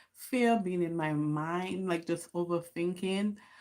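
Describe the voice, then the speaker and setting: This is a woman speaking. She has a Caribbean accent. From Dominica. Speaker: YouTuber. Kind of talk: casual livestream chat. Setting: livestream at home.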